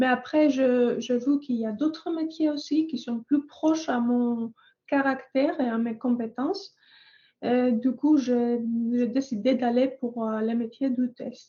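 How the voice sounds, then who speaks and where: A woman's high voice with a dark, mellow tone and a Greek accent, at a very slow pace with long, frequent pauses and fairly even intonation. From Greece. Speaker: software test engineer. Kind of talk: panel testimony. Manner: halting, many hesitations.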